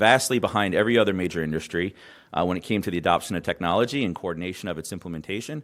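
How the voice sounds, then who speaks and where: Very fast speech from a man with an American accent and ordinary pitch variation. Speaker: government health IT advisor. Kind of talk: conference presentation. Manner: hesitant, many fillers.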